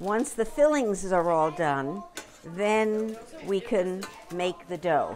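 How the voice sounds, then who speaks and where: The speech comes at a very slow pace with lively intonation, over noticeable background noise. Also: woman, medium pitch for a woman. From US Northeast, Brooklyn, New York, Polish community. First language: Polish. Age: 80s+. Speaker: polka dancer. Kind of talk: documentary interview.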